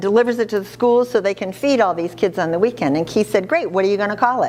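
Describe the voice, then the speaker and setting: The voice has an animated tone. Noticeable background noise runs underneath. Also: woman. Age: 70s. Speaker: charity founder. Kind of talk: speech to an audience.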